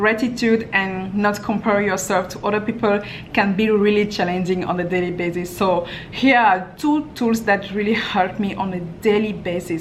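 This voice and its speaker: A woman talks with a French accent and fairly even intonation. Audible room echo and noticeable background noise surround her voice. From France. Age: young. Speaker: lifestyle vlogger. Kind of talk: Q&A vlog.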